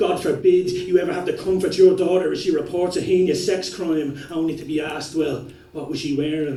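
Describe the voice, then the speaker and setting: A man's high-pitched voice at a moderate pace, with fairly even intonation and noticeable background noise. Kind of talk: slam poetry performance.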